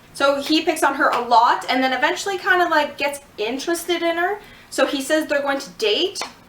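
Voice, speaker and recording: A woman speaks at a fairly quick pace with a high pitch and ordinary pitch variation. Noticeable background noise sits behind her. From Canada. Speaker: vlogger. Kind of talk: casual vlog review. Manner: casual, filler-heavy.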